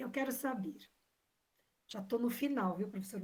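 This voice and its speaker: A woman's voice is somewhat breathy, and her pitch varies in an ordinary way. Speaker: examination panel member. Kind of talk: academic defense questioning.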